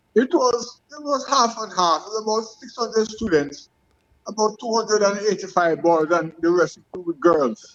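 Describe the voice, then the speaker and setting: Speaking at a moderate pace, a man with a high voice shows big swings in loudness. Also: lively intonation. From Jamaica, Westmoreland. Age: 70s. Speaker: retired athlete. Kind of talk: interview. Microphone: phone mic, far from it.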